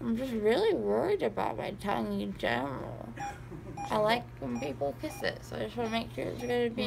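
Noticeable background noise sits behind a woman who talks at a fairly quick pace. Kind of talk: casual drowsy chat. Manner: slurred, drowsy, numb-mouthed rambling. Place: home room. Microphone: phone near.

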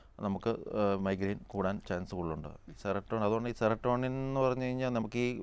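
A man with a fairly low pitch and fairly even intonation speaks in an unremarkable speaking voice. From Kerala. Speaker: neurosurgeon; guest. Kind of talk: TV health phone-in. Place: studio. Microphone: lapel.

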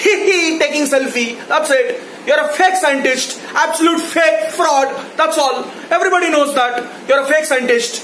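A man with an Indian accent speaks at an extremely high pitch and a moderate pace, with ordinary pitch variation and very even loudness. Room echo and light background noise are audible. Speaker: YouTube ranter. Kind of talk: angry rant. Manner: loud, indignant, accusatory; repetitive, sarcastic, emphatic. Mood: angry, mocking. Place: home room. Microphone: phone near.

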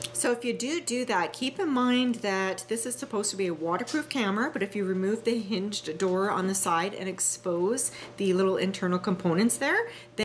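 Fairly quick delivery with very wide pitch swings over light background noise. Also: woman. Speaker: motovlogger showing gear. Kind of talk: tutorial. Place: kitchen.

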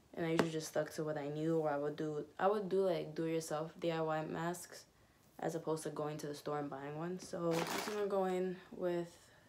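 Over noticeable background noise, a woman with a fairly low pitch speaks at a moderate pace with fairly even intonation. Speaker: beauty vlogger. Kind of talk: casual makeup tutorial chat. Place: home room. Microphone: phone near.

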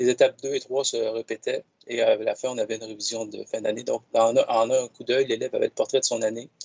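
A man talks at a very fast pace. The sound is dry with no echo, and the background is quiet. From Quebec. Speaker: educational technology advisor; presenter. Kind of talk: software demonstration. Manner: halting, repeats words. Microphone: video call.

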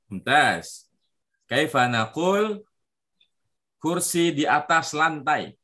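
A man speaks very slowly with a fairly high pitch, a bright, sharp tone and lively intonation. He leaves long, frequent pauses against a quiet background. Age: 30s. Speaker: Arabic teacher for children. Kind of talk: online language lesson. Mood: encouraging, praising. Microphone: video call.

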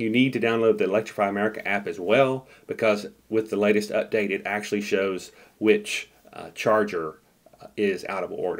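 Speaking at a moderate pace, a man shows big swings in loudness. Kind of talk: tutorial.

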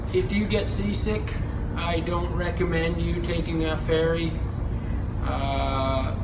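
A man speaks over loud background noise. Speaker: travel vlogger. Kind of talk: casual vlog chat. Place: boat. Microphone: phone near.

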